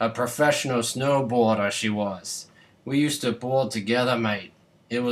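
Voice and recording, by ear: Reading aloud in a natural voice, pitch shifting in an ordinary way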